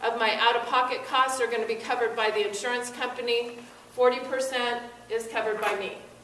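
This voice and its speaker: A woman talks at a moderate pace with a high pitch and monotone, flat intonation. Noticeable background noise and audible room echo surround her. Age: 60s. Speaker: insurance expert speaker at public forum. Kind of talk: informational presentation.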